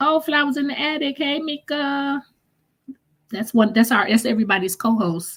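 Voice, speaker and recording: Her intonation lively, a woman speaks in a somewhat breathy voice. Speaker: live stream host. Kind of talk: live chat stream, reading viewer comments. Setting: live stream.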